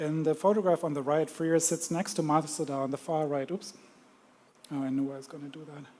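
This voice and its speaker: Fairly even intonation marks the speech of a man whose voice is pitched fairly high. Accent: German. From Germany. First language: German. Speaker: museum curator. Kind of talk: lecture. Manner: hesitant, many fillers.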